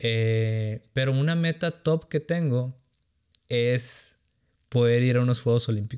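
A man talks at a very slow pace with very even loudness. His pitch variation is ordinary, and the background is quiet. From Sonora, northern Mexico. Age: 30s. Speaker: content creator. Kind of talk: casual interview chat. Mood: relaxed, conversational. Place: studio. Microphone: studio mic.

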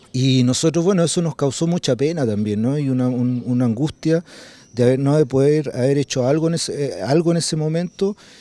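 Recorded dry with no echo, a man talks at a fairly quick pace in a fairly high pitch, his tone dark and mellow and his pitch variation ordinary. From Chile, Santiago (Conchalí); Chile. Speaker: documentary filmmaker. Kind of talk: interview; interview answer. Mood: calm, reflective. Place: garden. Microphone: handheld.

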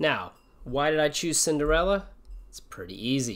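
The speaker is a man with a fairly high pitch. The background is quiet. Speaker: English teacher. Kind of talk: casual livestream chat before reading aloud. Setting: live stream. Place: home room. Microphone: webcam.

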